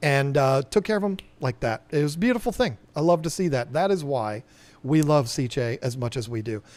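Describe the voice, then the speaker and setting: A plain, everyday voice with an American accent comes at a moderate pace on a very clean recording with a silent background. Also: man, fairly high pitch for a man, lively intonation. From Virginia, US. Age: 50s. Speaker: aquarium shop owner and live streamer. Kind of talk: live stream chat. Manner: casual, rambling with fillers.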